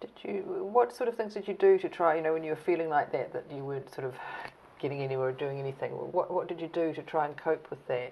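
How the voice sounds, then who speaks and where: Talking at a very fast pace, a woman uses lively intonation. Noticeable background noise runs underneath. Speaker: oral history interviewer. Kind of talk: interview.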